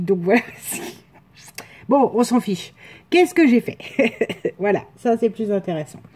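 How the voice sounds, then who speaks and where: A woman talks at a very slow pace, broken by long, frequent pauses. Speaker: scrapbooking crafter. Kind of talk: casual craft tutorial talk to camera. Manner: casual, hesitant.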